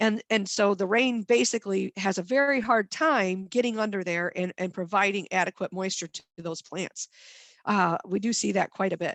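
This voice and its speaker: A woman with a Midwestern American accent and ordinary pitch variation, over a quiet background. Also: medium pitch for a woman, dry, close sound with no echo. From northwest Ohio. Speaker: master gardener volunteer coordinator. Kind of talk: lecture. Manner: fast.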